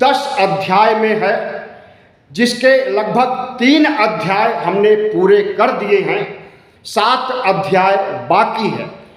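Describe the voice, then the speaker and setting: With long, frequent pauses, a man speaks at a high pitch with ordinary pitch variation, amid audible room echo and noticeable background noise. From northern India, Uttar Pradesh (Allahabad). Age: 60s. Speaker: Buddhist activist and YouTuber. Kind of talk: monologue address to followers.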